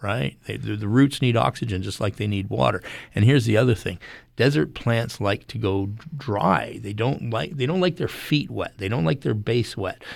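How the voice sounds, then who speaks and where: Speaking at a moderate pace, a man uses lively intonation at a fairly low pitch, with vocal fry. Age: 60s. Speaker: horticulturist and gardening podcast co-host. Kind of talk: radio call-in interview.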